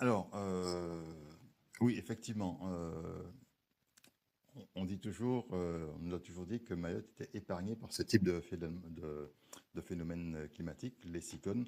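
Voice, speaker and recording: This man has a very deep, low voice with ordinary pitch variation. He talks at a fairly slow pace, with long, frequent pauses. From Guadeloupe. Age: 60s. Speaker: civil servant. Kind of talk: testimony. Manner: hesitant, many fillers.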